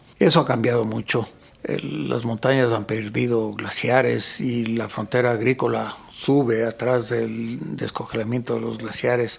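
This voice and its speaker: There is noticeable background noise behind a man's voice. He talks at a fairly slow pace with hardly any pauses. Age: 60s. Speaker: photographer and mountain guide. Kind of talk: casual interview conversation.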